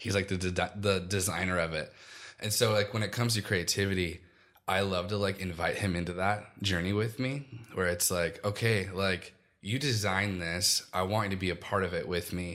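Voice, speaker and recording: A man with a normal speaking voice speaks at a fairly low pitch. He keeps a moderate pace and fairly even intonation. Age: 30s. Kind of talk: casual interview chat. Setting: studio with microphones. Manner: casual, filler-heavy.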